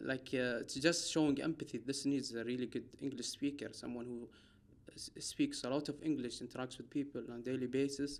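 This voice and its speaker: In an Arabic accent, a man of medium pitch talks at a fairly quick pace with monotone, flat intonation. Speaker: doctor. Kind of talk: casual chat. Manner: halting.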